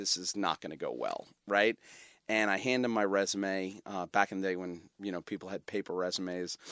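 A man with a plain, everyday voice, fairly low pitch and moderate pace, on a very clean recording with a silent background and a dry, close sound with no echo. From Brooklyn, New York. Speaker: media company founder and CEO. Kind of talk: casual interview.

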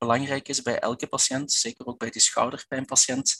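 A man with a Flemish accent at a moderate pace, in a dry, close sound with no echo. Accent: Belgian Flemish, audible. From Belgian Limburg. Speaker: physiotherapist and researcher. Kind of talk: expert interview. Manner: halting, many fillers and repetitions.

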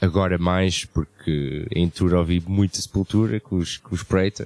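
His very deep, low voice comes at a fairly slow pace, and this man is recorded with a dry, close sound with no echo. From Luxembourg (Portuguese family, moved from Portugal at 5). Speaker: metal band musician. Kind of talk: casual chat.

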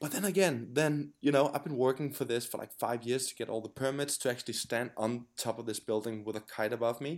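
Speaking with a Danish accent, a man uses a medium pitch and ordinary pitch variation. His pace is fairly quick, with hardly any pauses. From Denmark. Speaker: pro kitesurfer. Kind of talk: interview. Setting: remote call. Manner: hesitant, many fillers.

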